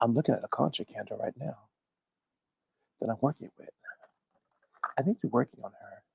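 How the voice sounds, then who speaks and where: The speech moves at a very fast pace. Long, frequent pauses break it up. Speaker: tarot reader and hoodoo practitioner. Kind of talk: casual livestream chat. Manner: animated.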